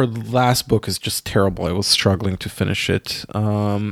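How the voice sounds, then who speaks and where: A man with an Israeli accent at a fairly low pitch and moderate pace, fairly even intonation, dry and close with no echo, in a very clean recording with a silent background. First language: Hebrew. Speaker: podcast co-host, artist. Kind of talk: casual chat.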